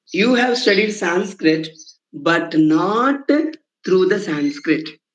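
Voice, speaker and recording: A man's high voice with a Telugu accent, at a very slow pace with very wide pitch swings and audible room echo. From India, Telugu-speaking region. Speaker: Sanskrit professor. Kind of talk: lecture. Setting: online lecture. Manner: repetitive, halting with fillers.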